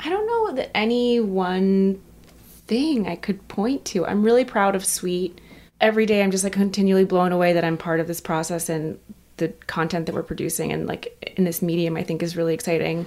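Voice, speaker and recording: A woman with an American accent speaks at a fairly quick pace in a medium pitch, with ordinary pitch variation and an ordinary speaking voice. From Texas. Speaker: fashion editor. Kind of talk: interview.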